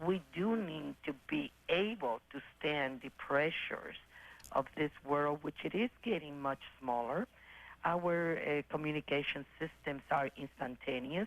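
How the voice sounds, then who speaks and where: Speaking fairly slowly, this woman has a very deep, low pitch. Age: 60s. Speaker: caller, businesswoman in real estate. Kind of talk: call-in opinion. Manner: halting.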